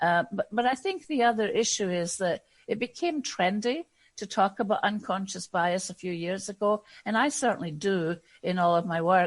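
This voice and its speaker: A woman with a Scottish accent speaks with lively intonation against a quiet background. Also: medium pitch for a woman, moderate pace. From Scotland. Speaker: diversity and inclusion consultant. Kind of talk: podcast interview. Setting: podcast.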